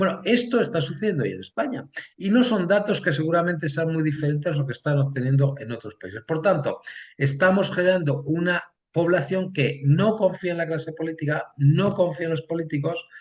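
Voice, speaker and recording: Pitched high, a man talks at a fairly quick pace with ordinary pitch variation. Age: 60s. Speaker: political science professor. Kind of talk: interview. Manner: hesitant, many fillers.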